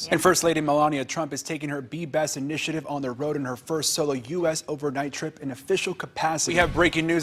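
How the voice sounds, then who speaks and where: Music plays behind a man with an American accent and a fairly high pitch. He talks at a very fast pace with fairly even intonation. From Dallas, Texas. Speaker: news anchor and reporter. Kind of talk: TV news anchor read.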